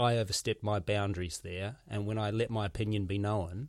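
Fairly quick and fairly low in pitch, a man speaks with a New Zealand accent. The recording is very clean, with a silent background. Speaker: podcast host, comedian. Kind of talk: casual interview.

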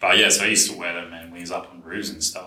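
A man speaks in a bright, sharp tone. Audible echo from the room surrounds his voice. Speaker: podcast co-host. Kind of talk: casual chat.

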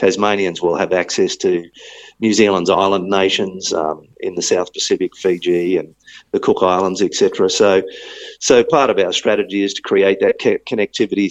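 A man speaks with an Australian accent at a moderate pace. The sound is dry and close, with no echo. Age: 50s. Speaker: tourism agency chief executive. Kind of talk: interview.

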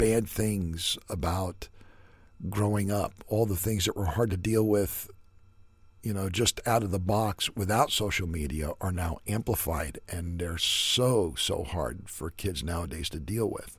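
A man talks at a very slow pace in a fairly low, somewhat breathy voice. The recording is very clean, with a silent background. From US, son of Yugoslav immigrants. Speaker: podcast host. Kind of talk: solo commentary monologue.

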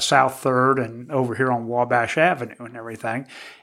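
A man with a Midwestern American accent speaks at a fairly slow pace in a medium pitch, his bright, sharp tone delivered in a flat monotone over a very clean recording with a silent background. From Indiana, Terre Haute. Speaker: small business owner and former city councilman. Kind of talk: casual interview.

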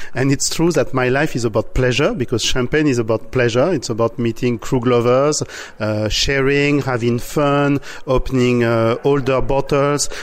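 Speaking in an unremarkable speaking voice, a man holds a moderate pace and medium pitch. His intonation is fairly even and his loudness very even. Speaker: champagne house leader. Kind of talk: interview.

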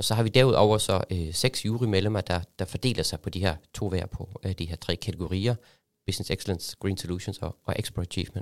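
Very deep and low, a man's voice moves at a fairly quick pace, with a dry, close sound free of echo on a very clean recording with a silent background. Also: ordinary pitch variation. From Germany. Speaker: export association secretariat head. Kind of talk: interview. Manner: halting, many fillers.

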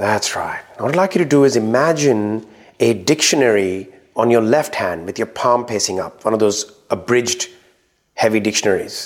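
This man has an ordinary speaking voice at medium pitch, with lively intonation and a moderate pace. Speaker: trainer and coach, podcast host. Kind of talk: hypnosis induction, guided imagery. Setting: live workshop with audience. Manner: conversational, teaching, addresses audience directly.

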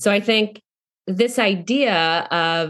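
A woman with an American accent has a normal speaking voice at medium pitch, recorded against a quiet background. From North Carolina, US South. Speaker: actor. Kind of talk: casual interview chat.

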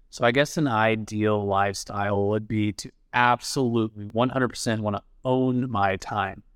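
In a normal speaking voice, a man talks at a moderate pace with fairly low pitch and fairly even intonation, on a very clean recording with a silent background. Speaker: guest, insurance agent turned real estate investor. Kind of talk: casual interview chat.

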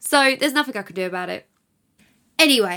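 With an English accent, a woman speaks at a fairly quick pace in a bright, sharp tone on a very clean recording with a silent background. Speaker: podcast host and mum. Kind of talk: casual monologue. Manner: chatty, laughs often.

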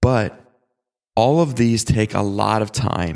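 A man with an ordinary speaking voice and a fairly low pitch talks at a fairly slow pace on a very clean recording with a silent background. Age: 20s. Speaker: youth pastor and podcast host. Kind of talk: casual teaching monologue.

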